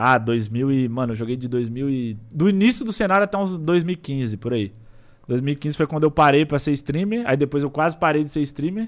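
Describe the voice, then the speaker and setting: The recording is very clean, with a silent background. An unremarkable speaking voice moves at a moderate pace with lively intonation. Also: man, fairly high pitch for a man. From Ceará, Brazil (small town near Fortaleza). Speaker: streamer. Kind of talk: casual chat.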